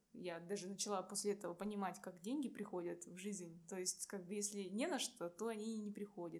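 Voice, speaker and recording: A woman talks at a fairly quick pace in a somewhat breathy voice. Her pitch is medium and her intonation fairly even. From Irkutsk, Siberia, Russia. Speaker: civil engineer and stand-up comedian. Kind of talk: casual interview.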